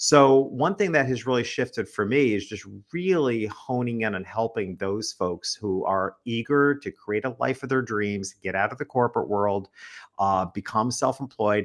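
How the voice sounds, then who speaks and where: A normal speaking voice, a man at medium pitch with ordinary pitch variation and a moderate pace. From US Northeast. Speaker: business author and speaker. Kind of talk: interview. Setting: live-streamed video call.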